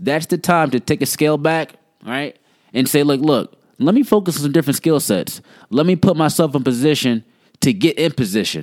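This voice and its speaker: Animated in tone, a man talks at a fairly quick pace and a fairly high pitch with ordinary pitch variation, in a dry, close sound with no echo. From New Jersey, Somerset. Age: 30s. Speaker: podcast host and entrepreneur. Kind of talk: casual monologue.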